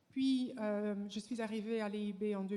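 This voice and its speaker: A woman speaks at a fairly slow pace with a slight Flemish accent. Her voice is fairly high-pitched, with a dark, mellow tone and ordinary pitch variation. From Flanders, Belgium. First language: Dutch (Flemish) (speaking French). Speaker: professor. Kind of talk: conference talk. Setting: stage with audience. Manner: halting, many hesitations.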